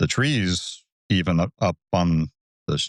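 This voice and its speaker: Very deep and low, a man's voice comes with an American accent in a dry, close sound with no echo, over a silent background in a very clean recording. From US South, North Georgia. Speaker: landscape photographer. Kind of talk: podcast interview.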